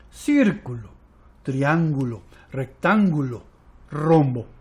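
Here a man speaks at a very slow pace with a fairly high pitch. His intonation is lively. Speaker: storyteller. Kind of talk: bedtime story telling for young children, with a hushed, intimate tale-spinner's cadence. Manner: warm, coaxing, addressing children directly with questions.

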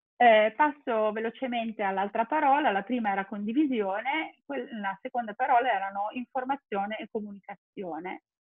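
Against a quiet background, a woman with a plain, everyday voice and a fairly high pitch speaks at a moderate pace with ordinary pitch variation. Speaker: school principal; webinar presenter. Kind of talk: webinar presentation with slides. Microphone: video call.

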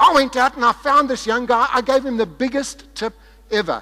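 With a raised, projected voice and an enthusiastic tone, a man talks at a moderate pace. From South Africa. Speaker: sales and marketing speaker. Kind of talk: conference keynote speech. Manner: lively, enthusiastic, humorous. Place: stage. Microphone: headset.

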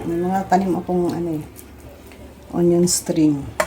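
Against noticeable background noise, a woman speaks at a moderate pace with a fairly low pitch. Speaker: home cook. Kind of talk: cooking tutorial. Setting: home kitchen. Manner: animated, friendly.

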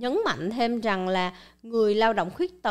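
Ordinary pitch variation marks a woman's medium-pitched voice. The background is quiet. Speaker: channel host presenting news and explainers. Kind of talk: scripted-style monologue explainer. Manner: formal, polite address to viewers. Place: studio. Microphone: studio mic.

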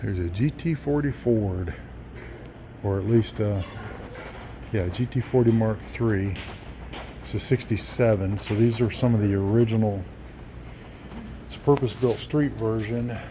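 A man's fairly slow speech with ordinary pitch variation, long and frequent pauses, and noticeable background noise. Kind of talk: casual vlog chat. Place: hall. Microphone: phone near.

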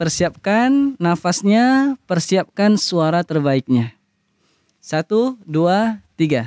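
This man talks at a very slow pace in a high voice with very wide pitch swings. The sound is dry with no echo, and the background is quiet. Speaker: Quran recitation teacher. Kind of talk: tutorial. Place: garden. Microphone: studio mic.

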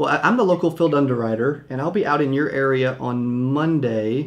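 A man's pitch shows ordinary variation. He speaks at a fairly quick pace. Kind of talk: sales phone call. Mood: friendly, upbeat. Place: studio. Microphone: studio mic.

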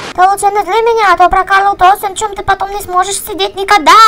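A cartoonish character voice races along at a very fast pace, extremely high in pitch with monotone, flat intonation. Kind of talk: comic overacting. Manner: menacing, aggressive.

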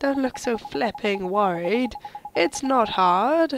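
Against noticeable background noise, a woman with a fairly high pitch speaks at a very slow pace. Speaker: gaming video host. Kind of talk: let's play commentary reading subtitles aloud.

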